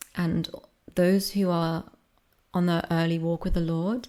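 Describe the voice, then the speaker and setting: A woman's soft-spoken, fairly low voice with a dark, mellow tone, at a fairly slow pace, on a very clean recording with a silent background. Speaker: ASMR creator. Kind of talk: soft-spoken discussion ramble.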